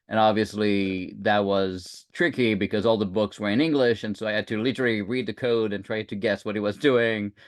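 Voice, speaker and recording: A man speaks at a moderate pace with a French accent and ordinary pitch variation. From France. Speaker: security leader and tech founder. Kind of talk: podcast interview. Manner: hesitant, many fillers.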